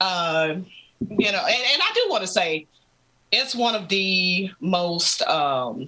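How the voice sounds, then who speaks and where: A woman speaks with lively intonation at a medium pitch. Her pace is fairly slow. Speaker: gamer and content creator. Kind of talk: casual chat. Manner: animated.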